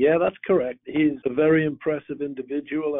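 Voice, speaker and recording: A man with a slight British accent and a fairly high voice speaks at a moderate pace. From northeast England, Newcastle. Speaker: flooring company executive. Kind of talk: interview.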